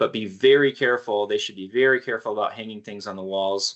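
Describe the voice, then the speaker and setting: The voice belongs to a man. His intonation stays fairly even. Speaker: college orientation staff presenter. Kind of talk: online presentation to parents. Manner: fast.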